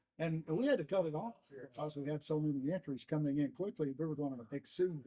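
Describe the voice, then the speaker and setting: Talking at a very fast pace, a man has a fairly high pitch and a dark, mellow tone. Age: 60s. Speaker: long drive organization founder. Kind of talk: interview.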